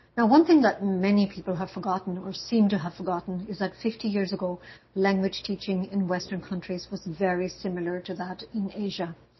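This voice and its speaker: At a fairly quick pace, a woman speaks with fairly even intonation in a somewhat breathy voice. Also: medium pitch for a woman, hardly any pauses. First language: German. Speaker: university language instructor. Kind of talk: lecture.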